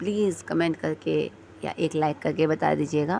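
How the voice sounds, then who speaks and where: A woman talks very slowly in a very deep, low pitch that varies in an ordinary way. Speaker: vlogger. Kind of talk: vlog voice-over narration. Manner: casual, hesitant with fillers.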